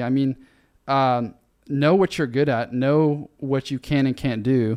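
The man has a normal speaking voice, fairly high in pitch, and talks at a moderate pace in a dry, close sound with no echo and a quiet background. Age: 20s. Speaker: investment firm founder. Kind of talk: casual interview chat.

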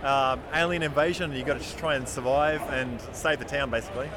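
A man's fairly high-pitched voice at a moderate pace with fairly even intonation, over noticeable background noise. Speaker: indie game developer. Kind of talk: interview. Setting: convention show floor.

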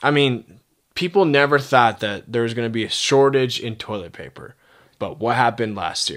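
Here a man has an unremarkable speaking voice at a medium pitch, with ordinary pitch variation. He keeps a moderate pace but shows big swings in loudness. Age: 20s. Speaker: podcast co-host. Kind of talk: casual chat.

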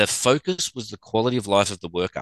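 Against a quiet background, a man with an Australian accent talks at a fairly quick pace in a bright, sharp tone, at a fairly low pitch with ordinary pitch variation, in a dry, close sound with no echo. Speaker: sports physical therapist. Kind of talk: casual chat.

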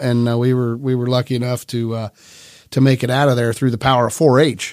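A man with a Midwestern US accent speaks at a very fast pace and medium pitch, in a monotone, flat intonation. The recording is very clean, with a silent background. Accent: US Midwest. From central Ohio. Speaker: bank executive. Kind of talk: interview. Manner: hesitant.

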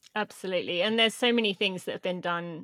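A woman with a British accent speaks at a very fast pace, her medium pitch held in fairly even intonation. The recording is very clean, with a silent background and a dry, close sound with no echo. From Britain. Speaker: elite runner and sustainability advocate. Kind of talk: interview conversation.

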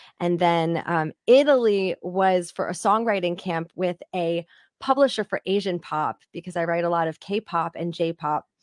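Speaking at a fairly slow pace, a woman with an American accent has a fairly low pitch. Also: ordinary pitch variation. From Pennsylvania, outside Philadelphia. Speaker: singer and songwriter. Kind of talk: interview chat. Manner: animated.

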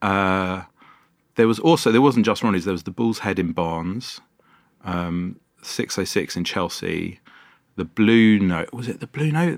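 A man speaks fairly slowly in a fairly low pitch with a London accent. He leaves long, frequent pauses. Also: ordinary pitch variation. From London (Wembley, North London). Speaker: sound engineer and bar founder. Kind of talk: casual interview. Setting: podcast studio.

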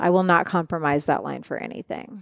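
A woman talks in an ordinary speaking voice, fairly low in pitch with ordinary pitch variation. The recording is very clean, with a silent background. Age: 40s. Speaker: shaman and author. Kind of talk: casual chat. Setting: in person recording.

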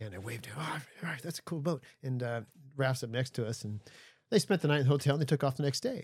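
On a very clean recording with a silent background, a man with an American accent speaks at a very fast pace, his medium pitch somewhat breathy and showing ordinary pitch variation. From US West Coast. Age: 60s. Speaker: solo ocean racing sailor and marine energy systems designer. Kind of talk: casual interview chat. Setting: studio aboard a boat.

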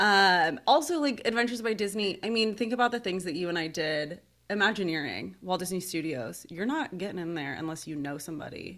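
Talking with an American accent in an unremarkable speaking voice, a woman of medium pitch uses lively intonation at a fairly quick pace with hardly any pauses, on a very clean recording with a silent background. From Seattle area, US. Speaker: podcast host. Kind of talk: casual chat.

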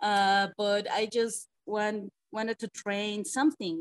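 A woman with a Mexican accent talks at a fairly high pitch, the sound dry and close with no echo. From Mexico City. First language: Spanish. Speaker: pro wrestler. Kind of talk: casual interview. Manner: laughs often, halting English.

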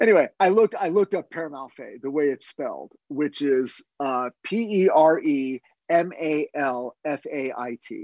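Against a quiet background, a man with an unremarkable speaking voice talks at a moderate pace with hardly any pauses, his fairly high pitch carrying lively intonation and big swings in loudness, the sound dry and close with no echo. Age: 50s. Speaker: TV writer. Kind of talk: casual chat.

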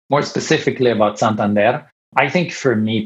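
Against a quiet background, a man with an Italian accent speaks at a moderate pace and a fairly low pitch. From Italy. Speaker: bank developer ecosystem director. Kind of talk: podcast interview.

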